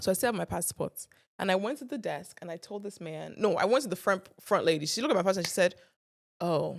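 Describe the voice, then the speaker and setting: Here a woman with an American accent and a medium pitch talks very fast. Her tone is animated and her intonation lively. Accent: sounds American. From Nigeria. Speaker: content creator. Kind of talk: casual chat, storytelling. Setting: studio.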